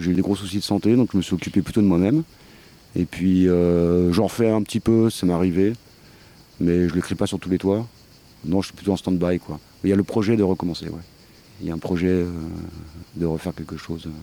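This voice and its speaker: At a very deep, low pitch, a man speaks fairly quickly in a dark, mellow tone with fairly even intonation and long, frequent pauses. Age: 40s. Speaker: collective member. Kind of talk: interview testimony. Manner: halting, many hesitations.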